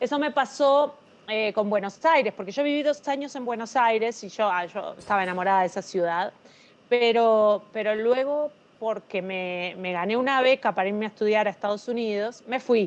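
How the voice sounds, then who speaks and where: A woman's fairly high voice at a moderate pace. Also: ordinary pitch variation, quiet background. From Uruguay, Montevideo. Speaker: novelist. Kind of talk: interview.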